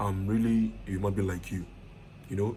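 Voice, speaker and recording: A very fast, somewhat breathy delivery with a dark, mellow tone, fairly even intonation, and audible room echo. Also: man. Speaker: IT consultant and online course teacher. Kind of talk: lecture. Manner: casual.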